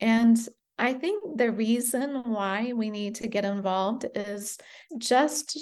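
A woman has an ordinary speaking voice with a fairly high pitch and fairly even intonation. The background is quiet. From United States (born in Britain, moved at five). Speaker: founder of a charity craft project. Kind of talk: interview.

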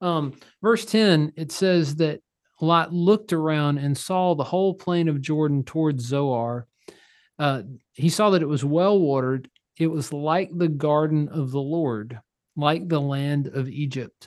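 Against a quiet background, a man talks in an ordinary speaking voice at a fairly slow pace. His pitch is fairly high, with ordinary pitch variation. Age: 30s. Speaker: pastor. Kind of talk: casual chat.

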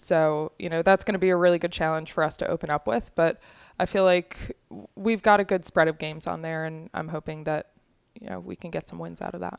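A normal speaking voice from a woman with an American accent, fairly low in pitch with ordinary pitch variation. She talks at a fairly quick pace with big swings in loudness, and the sound is dry and close with no echo. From Long Island, New York. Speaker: college soccer coach. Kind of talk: interview.

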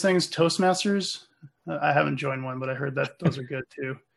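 With ordinary pitch variation, a man's speech unfolds at a moderate pace. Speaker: tech podcast co-host, developer. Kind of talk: casual tech podcast chat. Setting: video call.

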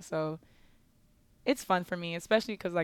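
The speaker has an ordinary speaking voice with ordinary pitch variation, recorded with a dry, close sound with no echo. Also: woman. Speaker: college basketball player. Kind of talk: interview. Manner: casual with frequent fillers.

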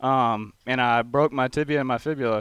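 A man speaks at a medium pitch with a Texas accent and ordinary pitch variation, keeping a moderate pace. The recording is very clean, with a silent background. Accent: Texas twang. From Texas (College Station). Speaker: college football player. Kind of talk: interview.

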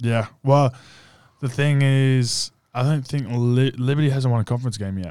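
A man with an Australian accent speaks at a moderate pace in a medium pitch, his dark, mellow tone and fairly even intonation captured on a very clean recording with a silent background. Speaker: college basketball player and podcast co-host. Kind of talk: casual chat. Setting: studio.

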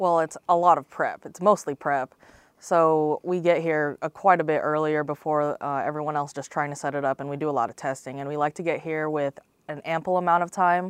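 Against a quiet background, a woman with an American accent speaks at a fairly quick pace and a very deep, low pitch, the sound dry and close with no echo. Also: fairly even intonation, big swings in loudness. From Central Florida (Lakeland). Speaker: sports broadcast production crew. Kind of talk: interview.

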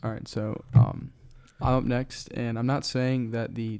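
On a very clean recording with a silent background, a man with an American accent speaks in a dark, mellow tone at a medium pitch, flat and monotone. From Florida, Cuban family. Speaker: podcast guest. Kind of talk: casual chat.

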